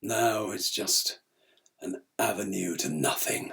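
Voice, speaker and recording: A man puts on a raspy character voice, fairly low in pitch. He talks at a fairly slow pace. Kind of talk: theatrical monologue. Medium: solo performance. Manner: candid, reflective monologue.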